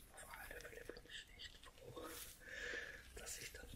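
A woman whispers fairly slowly as noticeable background noise carries on. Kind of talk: casual talk to camera about her health. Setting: audio only, microphone recording. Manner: whispered, soft-spoken.

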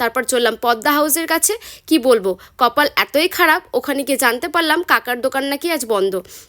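Speaking in a West Bengal accent, a woman uses a high pitch with very wide pitch swings. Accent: Bengali (West Bengal). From West Bengal, India (Murshidabad). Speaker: food and travel vlogger. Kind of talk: vlog narration.

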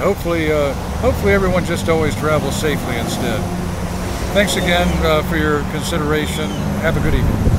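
A man rushes through his words at a very fast pace amid loud background noise. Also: dry sound with no echo. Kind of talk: casual vlog chat. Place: street. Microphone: phone near.

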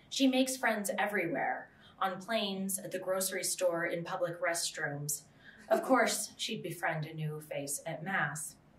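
Speaking at a fairly slow pace with an American accent, a woman at a medium pitch uses ordinary pitch variation while her loudness swings widely and the room echoes audibly. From US Southwest. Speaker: author; writer on a panel. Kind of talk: reading aloud. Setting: stage with audience. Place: meeting room. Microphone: podium.

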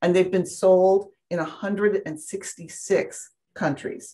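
A woman with a medium pitch talks in an enthusiastic tone against a quiet background. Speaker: university alumni director, event host. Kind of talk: formal introduction and event hosting. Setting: video call. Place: meeting room.

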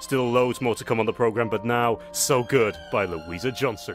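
Clear music plays behind a man who speaks at a moderate pace in an upbeat tone, with ordinary pitch variation and a dry sound with no echo. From United Kingdom. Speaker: radio presenter. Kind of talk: radio presenting. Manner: upbeat, chatty. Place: studio.

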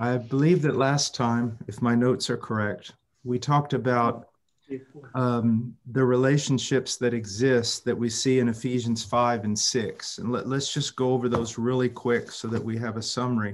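A man's fairly even intonation accompanies his fairly slow pace. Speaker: preacher or teacher. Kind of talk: prayer, then bible teaching. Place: home room. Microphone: video call.

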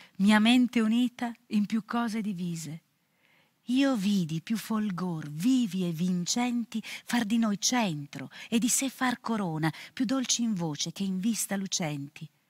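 Against a quiet background, a woman talks at a fairly slow pace in a somewhat breathy voice with ordinary pitch variation and a dry sound with no echo. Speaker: actress. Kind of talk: poetry reading. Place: studio.

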